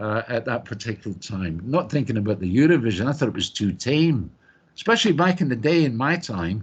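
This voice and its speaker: Against a quiet background, a man with a Scottish accent talks at a fairly quick pace, somewhat breathy, with very wide pitch swings. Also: medium pitch for a man. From Scotland. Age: old. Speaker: singer. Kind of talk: interview. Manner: animated.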